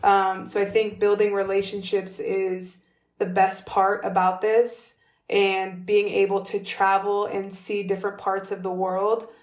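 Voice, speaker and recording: A woman with an American accent, medium in pitch, flat and monotone at a fairly slow pace. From California, US. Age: 30s. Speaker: professional basketball player. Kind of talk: interview conversation. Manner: casual, filler-heavy.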